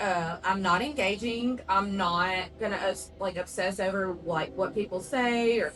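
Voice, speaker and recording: Speaking fairly slowly with a strong Southern US accent, a woman uses a medium pitch and ordinary pitch variation. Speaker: podcast co-host. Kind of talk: casual chat. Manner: sometimes stumbles over words.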